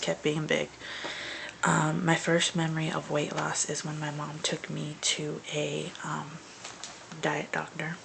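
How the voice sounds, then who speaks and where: Whispering from a woman at a moderate pace, noticeable background noise behind her. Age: 20s. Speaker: vlogger. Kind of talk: personal video diary. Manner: hesitant, many fillers.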